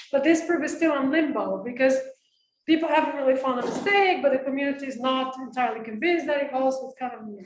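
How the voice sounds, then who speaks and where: Speaking very fast at a high pitch with ordinary pitch variation, a woman is heard through audible room echo. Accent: Dutch. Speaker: philosophy of logic academic. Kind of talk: conference talk. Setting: conference room with audience. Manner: casual, filler-heavy.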